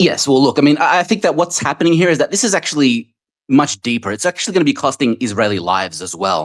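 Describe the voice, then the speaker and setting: A man's fairly high, vocal-fry voice in an Australian accent, very fast, with very wide pitch swings, dry and close with no echo, on a very clean recording with a silent background. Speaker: audience member. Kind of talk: heated debate. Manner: hesitant, filler-heavy.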